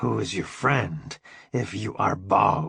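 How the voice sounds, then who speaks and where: A man growls through a put-on character voice at a fairly slow pace. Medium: read story. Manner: simple broken English.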